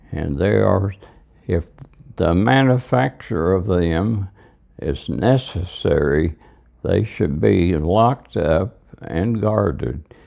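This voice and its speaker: Speaking very slowly with long, frequent pauses, a man has a very deep, low voice. Vocal fry and lively intonation run through it. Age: 90s. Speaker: elderly father recorded by son. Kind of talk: reflective monologue. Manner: halting.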